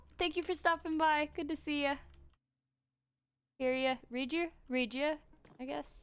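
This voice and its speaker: A woman's high-pitched voice at a fairly slow pace, with long, frequent pauses, ordinary pitch variation and music in the background. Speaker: gaming streamer. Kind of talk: casual live stream commentary while building. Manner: hesitant, many fillers.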